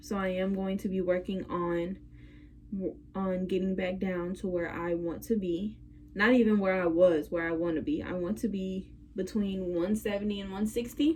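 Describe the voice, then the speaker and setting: A woman with a somewhat breathy, dark and mellow voice speaks in a medium pitch with ordinary pitch variation. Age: 20s. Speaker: vlogger sharing mental health journey. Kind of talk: personal vlog monologue. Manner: halting.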